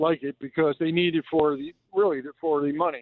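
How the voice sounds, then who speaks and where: Here a man with an unremarkable speaking voice, fairly high in pitch, talks at a moderate pace with ordinary pitch variation. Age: 60s. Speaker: caller. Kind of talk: casual chat.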